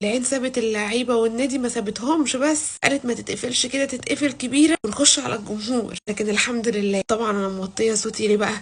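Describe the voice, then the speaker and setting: Quiet and playful in tone, a woman talks with hardly any pauses at a fairly high pitch and ordinary pitch variation. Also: fairly quick pace. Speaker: football vlogger. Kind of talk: casual vlog. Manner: quiet, lowered voice; chatty, playful.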